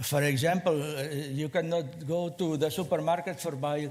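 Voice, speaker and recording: Audible room echo surrounds the speech. Its intonation holds fairly even. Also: man. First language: Spanish or Catalan. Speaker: small space company representative. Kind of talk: conference presentation. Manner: halting, many fillers and repeats.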